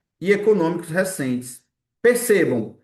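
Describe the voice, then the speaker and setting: This man speaks at a high pitch, his intonation lively. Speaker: exam-prep teacher. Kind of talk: online lecture. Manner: fast.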